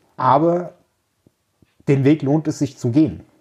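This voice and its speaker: A man's dark, mellow tone, somewhat breathy, carries ordinary pitch variation at a fairly slow pace. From central Hesse, Germany. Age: 40s. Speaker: logistics manager. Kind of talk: interview.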